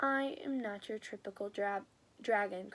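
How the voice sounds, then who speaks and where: Using a put-on character voice, a woman speaks at a moderate pace and a medium pitch. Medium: read story.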